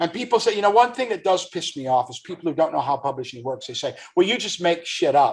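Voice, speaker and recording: On a very clean recording with a silent background, a man talks at a very fast pace in a high pitch, his animated tone marked by very wide pitch swings and big swings in loudness. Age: 60s. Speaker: author and actor. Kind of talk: podcast interview.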